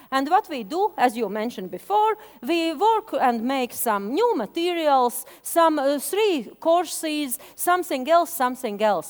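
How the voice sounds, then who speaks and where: Speaking at a fairly slow pace with hardly any pauses, a woman with a Latvian accent uses a high pitch and very wide pitch swings. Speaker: media education expert. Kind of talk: conference presentation. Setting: stage with audience. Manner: halting.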